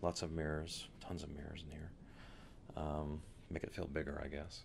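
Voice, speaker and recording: A soft-spoken man with a very deep, low pitch talks over noticeable background noise. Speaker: ASMR creator. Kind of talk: ASMR soft-spoken room tour. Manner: soft-spoken, casual, hesitant. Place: boat. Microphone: handheld.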